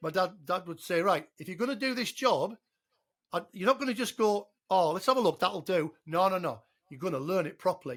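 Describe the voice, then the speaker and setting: On a very clean recording with a silent background, a man with an English accent talks in a high pitch at a fairly quick pace, his intonation lively. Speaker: father of the podcast host. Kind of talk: casual chat. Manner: loud.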